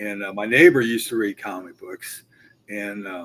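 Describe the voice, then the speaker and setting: Here is a man with an ordinary speaking voice. He goes at a fairly quick pace with fairly even intonation. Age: 60s. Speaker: comic collector. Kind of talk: casual chat. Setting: live stream video call.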